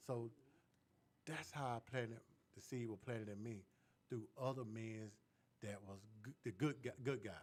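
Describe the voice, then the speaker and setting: A man's medium-pitched voice at a moderate pace, with fairly even intonation and long, frequent pauses. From US South, Atlanta. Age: 60s. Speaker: cast member, actor. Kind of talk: casual talk-radio interview.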